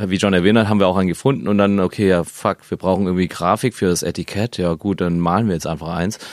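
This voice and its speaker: The man's pitch sits fairly low. He talks very fast. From Stuttgart, southwest Germany. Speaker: electronic music producer and label owner. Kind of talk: casual interview. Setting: studio.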